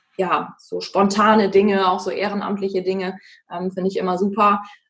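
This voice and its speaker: A normal speaking voice at a moderate pace. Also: woman. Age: 20s. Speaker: singer and social worker. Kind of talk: casual interview.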